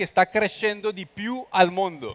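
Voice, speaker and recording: A man talks with a high pitch and fairly even intonation. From Colombia. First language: Spanish (speaking Italian). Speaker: expert on creative economy; guest. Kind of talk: conference talk. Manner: halting. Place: hall. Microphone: headset.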